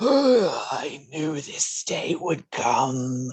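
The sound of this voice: A raspy, put-on character voice is pitched in the middle range.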